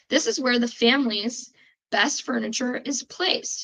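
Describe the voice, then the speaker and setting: A woman speaks with a strong Chicago accent. Her voice is high, with fairly even intonation. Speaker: podcast host. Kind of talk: casual chat.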